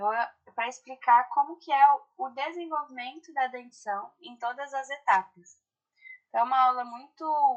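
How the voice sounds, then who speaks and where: Speaking fairly slowly, a woman uses lively intonation at a high pitch. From Brazil, Ribeirão Preto (São Paulo state). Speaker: orthodontics lecturer. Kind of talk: online lecture. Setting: video call. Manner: slow and deliberate.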